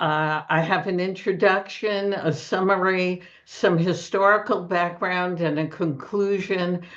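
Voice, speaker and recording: A woman speaks very slowly in a Brooklyn accent. Her pitch sits in the middle of her range, and her intonation stays fairly even. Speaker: book discussion presenter. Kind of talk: literary talk with slides.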